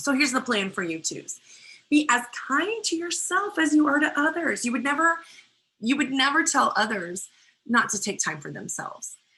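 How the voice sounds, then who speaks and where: A woman's raised, projected, high-pitched voice at a moderate pace, with very wide pitch swings. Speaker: guest speaker teaching personality types. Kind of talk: webinar lecture. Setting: online live webinar with chat.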